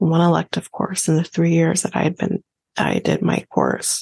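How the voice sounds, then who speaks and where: Speaking with a Canadian accent, a woman has a somewhat breathy, fairly low voice, recorded with a dry, close sound and no echo. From Canada. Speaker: podcast co-host. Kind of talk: casual chat.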